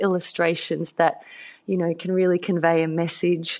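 Against a quiet background, a woman talks with a fairly low pitch. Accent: Australian. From Australia, country Victoria. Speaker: children's book author. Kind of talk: interview.

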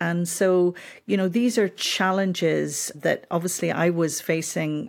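On a very clean recording with a silent background, a woman speaks in a Northern Irish accent at a fairly low pitch. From Northern Ireland (Belfast). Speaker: historian. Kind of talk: interview.

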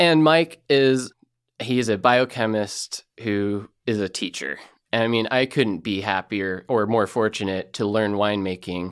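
An ordinary speaking voice from a man with an American accent, pitched fairly low with ordinary pitch variation. The recording is very clean, with a silent background. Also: fairly slow pace. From Elkton, Oregon. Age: 30s. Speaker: winemaker. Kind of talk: radio interview.

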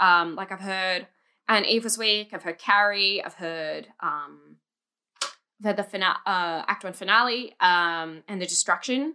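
A woman with an Australian accent speaks at a fairly slow pace in a medium pitch, her bright, sharp tone showing ordinary pitch variation and big swings in loudness, on a very clean recording with a silent background. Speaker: musical theatre fan. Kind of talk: casual chat.

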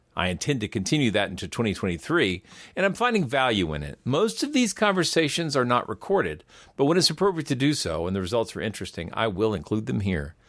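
Over a silent background on a very clean recording, a man talks at a fairly quick pace. His medium pitch swings very widely, with vocal fry. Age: 50s. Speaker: podcast host. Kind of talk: interview.

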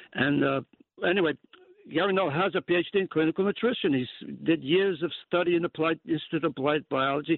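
This man's voice has a fairly high pitch and ordinary pitch variation. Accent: New York. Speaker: caller. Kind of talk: call-in radio. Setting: phone call.

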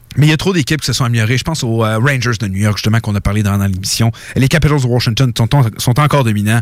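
This voice has a Quebec accent and races along at a very fast pace. Its pitch varies in an ordinary way. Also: man, medium pitch for a man. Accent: Québécois French. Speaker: radio sports show host. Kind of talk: hockey talk radio panel. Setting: radio studio.

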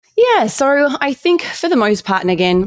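Speaking fairly slowly with an Australian accent, a woman is heard on a very clean recording with a silent background. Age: 30s. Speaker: dietitian and fitness coach. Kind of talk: interview.

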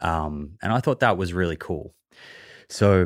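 Recorded very cleanly against a silent background, a man with an Australian accent speaks at a moderate pace. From Australia, Melbourne. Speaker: nutrition podcaster and author. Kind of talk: interview.

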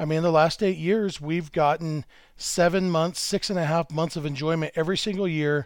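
A man speaks at a fairly quick pace in an ordinary speaking voice, pitched fairly high with fairly even intonation. The recording is very clean, with a silent background. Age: 40s. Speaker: baseball writer. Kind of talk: casual chat.

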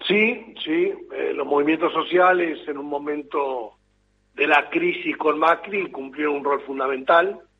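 The delivery is fairly slow, in an ordinary speaking voice with ordinary pitch variation. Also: man, fairly high pitch for a man. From Argentina, Entre Ríos. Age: 50s. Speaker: politician. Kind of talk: interview.

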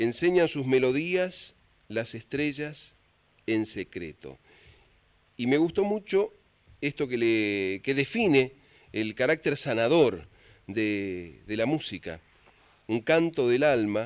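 Against a quiet background, a man with a medium-pitched voice talks very slowly, swinging his pitch very widely and pausing long and often. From San Luis, Argentina. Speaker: folk radio host. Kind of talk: radio show presenting.

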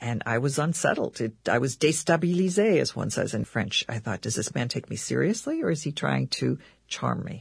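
A woman speaks with an American accent at a moderate pace. The background is quiet. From United States. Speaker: journalist and author. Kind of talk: radio interview.

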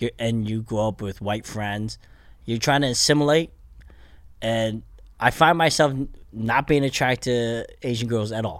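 With an American accent, a man speaks at a medium pitch and a moderate pace, with ordinary pitch variation and long, frequent pauses, on a very clean recording with a silent background. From Pennsylvania, US (Bethlehem). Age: 40s. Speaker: stand-up comedian. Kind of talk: casual chat.

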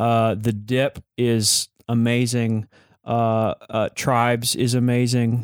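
A man's very slow, monotone, flat delivery with an American accent, very even in loudness, in a very clean recording with a silent background and a dry, close sound with no echo. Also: medium pitch for a man. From Texas. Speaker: music company co-founder, fiddle player. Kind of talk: interview conversation.

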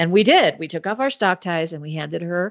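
This is a woman with an ordinary speaking voice. She has a fairly low pitch and ordinary pitch variation. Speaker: magazine editor and co-host. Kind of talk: casual chat.

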